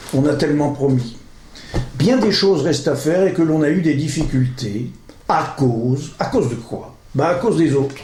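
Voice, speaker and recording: A man with a fairly high pitch and ordinary pitch variation, with audible room echo and noticeable background noise. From northern France, Pas-de-Calais. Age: 60s. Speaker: local election candidate. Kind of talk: political campaign speech. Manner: informal, conversational.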